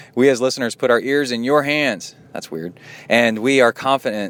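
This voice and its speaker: A man talks at a moderate pace in an unremarkable speaking voice. His pitch variation is ordinary. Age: 40s. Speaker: triathlon podcast host and coach. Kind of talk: podcast monologue reading listener mail. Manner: casual, conversational.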